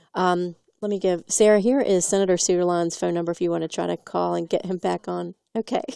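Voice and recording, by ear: A woman speaks at a fairly quick pace with a dark, mellow, clear and smooth tone, some vocal fry and little pitch movement, recorded with a dry, close sound and no echo. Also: fairly low pitch for a woman, very clean recording, silent background.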